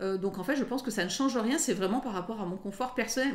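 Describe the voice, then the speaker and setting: This woman talks at a fairly quick pace. Her pitch is fairly high and her intonation is lively. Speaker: lawyer. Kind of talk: interview.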